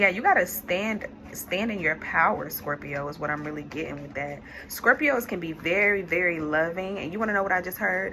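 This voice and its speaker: A woman's fairly quick delivery comes with noticeable background noise behind it. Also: medium pitch for a woman, ordinary pitch variation. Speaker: tarot reader. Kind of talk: tarot reading. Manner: halting, with fillers.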